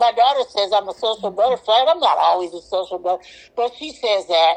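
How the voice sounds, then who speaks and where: A woman's plain, everyday voice with lively intonation at a moderate pace. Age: 60s. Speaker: podcast guest sharing celibacy experience. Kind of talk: casual interview conversation.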